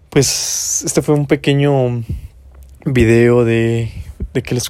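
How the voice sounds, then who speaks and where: A man's dark, mellow tone at a very slow pace, with fairly even intonation. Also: long, frequent pauses. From Mexico, Guanajuato. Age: 20s. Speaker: podcaster. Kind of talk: motivational monologue. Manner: casual, rambling with repetitions.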